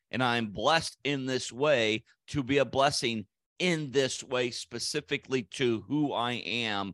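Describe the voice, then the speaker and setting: A man's normal speaking voice at medium pitch and a fairly slow pace, with ordinary pitch variation, a dry, close sound with no echo and a quiet background. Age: 60s. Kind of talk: solo podcast teaching.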